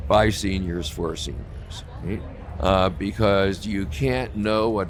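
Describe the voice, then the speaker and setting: Music plays in the background and audible room echo surrounds the voice. A man speaks fairly slowly at a very deep, low pitch. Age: 60s. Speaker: cannabis activist. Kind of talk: casual interview. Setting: live at a trade show booth. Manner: hesitant, many fillers.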